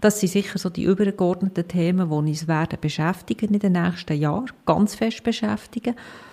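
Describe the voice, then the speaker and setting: With a dark, mellow tone, a woman speaks at a moderate pace and medium pitch, showing ordinary pitch variation and hardly any pauses. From Emmental, canton of Bern, Switzerland. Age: 40s. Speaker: hospital CEO. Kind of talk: interview.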